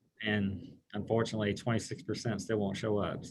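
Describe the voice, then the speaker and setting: The pace is moderate. A somewhat breathy quality runs through the voice. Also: man. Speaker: health department finance staff. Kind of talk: public meeting report. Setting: county board meeting.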